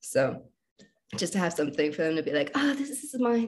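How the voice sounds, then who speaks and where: The voice carries vocal fry and very wide pitch swings. It moves at a very fast pace. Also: woman. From Alaska. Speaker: visual effects artist and food blogger. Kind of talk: casual interview chat.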